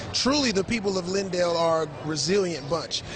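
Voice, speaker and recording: Music plays in the background as a man with an American accent speaks. His pitch is high and his pace moderate. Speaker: television news reporter. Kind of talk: broadcast news reporting, live shots and packages.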